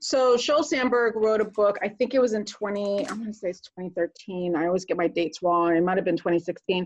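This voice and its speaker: In an unremarkable speaking voice, a woman talks at medium pitch and a moderate pace, with lively intonation and hardly any pauses. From Connecticut, US East Coast (born Puerto Rico). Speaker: retired military officer and nurse practitioner. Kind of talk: podcast interview.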